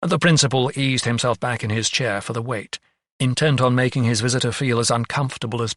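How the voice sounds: In a natural reading voice with fairly even intonation, the speaker reads against a quiet background.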